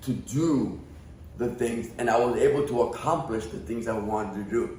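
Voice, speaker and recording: Audible room echo surrounds a man who speaks at a moderate pace with a somewhat breathy voice. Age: 50s. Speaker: podcast guest. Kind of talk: casual chat.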